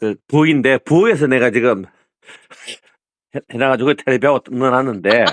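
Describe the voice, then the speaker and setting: In a dry, close sound with no echo, a man talks at a fairly quick pace with ordinary pitch variation and long, frequent pauses. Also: medium pitch for a man. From Gyeongsang region, South Korea. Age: 60s. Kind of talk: casual phone conversation.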